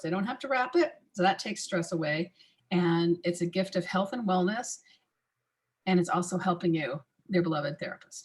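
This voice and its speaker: A woman's raspy, put-on character voice at medium pitch, with a moderate pace and ordinary pitch variation. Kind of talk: instructive, businesslike. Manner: fast-talking.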